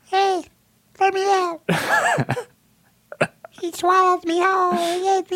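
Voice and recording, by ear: A man puts on a character voice with an extremely high pitch, going at a fairly slow pace with long, frequent pauses.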